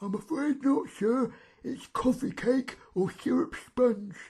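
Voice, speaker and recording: A man puts on a character voice with an extremely high pitch. The pace is fairly slow. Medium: read story. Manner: polite, formal.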